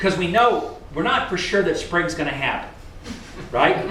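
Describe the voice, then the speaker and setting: A man speaks in an animated tone at a high pitch. There is audible room echo and noticeable background noise. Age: 60s. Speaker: business consultant for equipment dealers. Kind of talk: seminar talk to a live audience. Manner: animated, conversational with audience questions.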